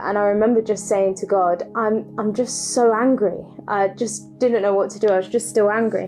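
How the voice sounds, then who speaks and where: A woman with a fairly high voice speaks at a moderate pace, in a calm tone with fairly even intonation. Music plays in the background. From London. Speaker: church leader. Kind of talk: testimony. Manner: calm, reflective.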